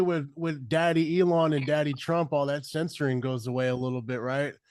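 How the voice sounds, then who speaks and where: Fairly high in pitch for a man, this plain, everyday voice moves at a fairly quick pace with hardly any pauses and ordinary pitch variation. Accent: American. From Yakima, Washington. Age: 30s. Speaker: podcast host. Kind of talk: casual interview.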